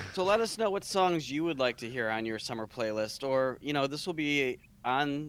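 At a moderate pace, a man talks with lively intonation and a fairly high pitch. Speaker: podcast co-host. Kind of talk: casual chat. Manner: energetic.

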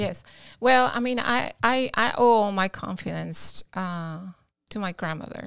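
A woman's medium-pitched voice with a Cuban accent, at a fairly slow pace with ordinary pitch variation, on a very clean recording with a silent background. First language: Spanish. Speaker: guest telling her life story. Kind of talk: casual interview.

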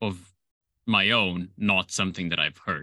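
In a Slovenian accent, a man speaks with a very deep, low pitch at a moderate pace and fairly even intonation. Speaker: film composer. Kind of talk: interview.

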